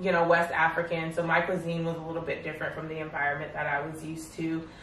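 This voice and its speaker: With noticeable background noise and audible room echo, a woman with a fairly low pitch talks at a fairly quick pace. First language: French. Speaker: interview guest. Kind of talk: casual interview chat. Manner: casual, with many fillers.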